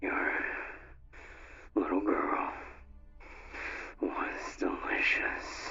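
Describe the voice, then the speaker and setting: In a put-on character voice, extremely high in pitch, soft-spoken and raspy, the speaker goes at a very slow pace with long, frequent pauses. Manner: murmuring, sinister.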